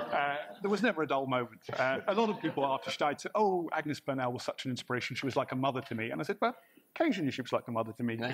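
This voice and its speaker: Against noticeable background noise, a man talks at a very fast pace with a fairly high pitch and lively intonation. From Northern Ireland. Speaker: guest. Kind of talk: chat show anecdotes.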